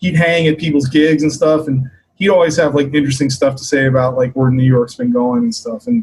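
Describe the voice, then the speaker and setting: A somewhat breathy man with an American accent, fairly high in pitch, with ordinary pitch variation and a fairly quick pace. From US, Maryland. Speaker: bass player, bandleader. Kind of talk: interview. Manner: casual, many fillers.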